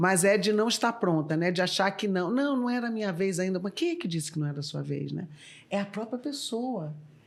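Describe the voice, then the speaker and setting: Speaking in a plain, everyday voice, a woman of medium pitch moves at a fairly quick pace with lively intonation. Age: 60s. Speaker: former corporate executive and board member. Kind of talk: podcast interview.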